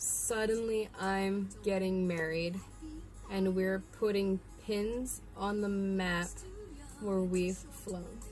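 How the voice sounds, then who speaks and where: A woman with an American accent, very slow and monotone with flat intonation, in audible room echo. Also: medium pitch for a woman. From central New York. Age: young. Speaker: sign language tutorial creator. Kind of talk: tutorial.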